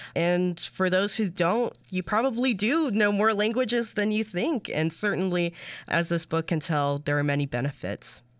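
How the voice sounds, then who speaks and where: A woman at a medium pitch speaks at a moderate pace with lively intonation, very even loudness and hardly any pauses, in a very clean recording with a silent background. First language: Spanish. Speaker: radio reporter. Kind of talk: interview.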